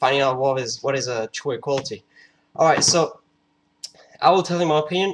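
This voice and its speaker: This speaker has a non-native accent. The pitch varies in an ordinary way. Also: man. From France. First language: French. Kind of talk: casual talk to camera. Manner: hesitant, many fillers.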